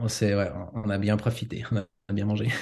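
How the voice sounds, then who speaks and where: Dark, mellow tone from a man at a fairly slow pace, in a quiet background. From Switzerland, father from Ticino. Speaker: home cook who lived in Japan. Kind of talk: podcast interview. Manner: hesitant, many fillers.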